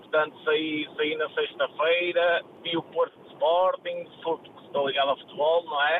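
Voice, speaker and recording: This man has a high pitch and monotone, flat intonation, with big swings in loudness. Noticeable background noise is present. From northern Portugal, Póvoa de Varzim. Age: 40s. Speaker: football agent and scout. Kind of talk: interview. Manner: halting, repeats words.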